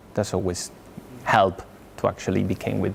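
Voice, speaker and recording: This is a man's voice. He speaks with a Spanish accent. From Spain. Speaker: software architect. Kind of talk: tech talk with Q&A.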